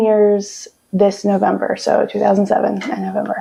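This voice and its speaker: A woman speaks with a Midwestern American accent. Her pace is fairly slow. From Monroe, Ohio. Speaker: library branch manager. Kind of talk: oral history interview answer.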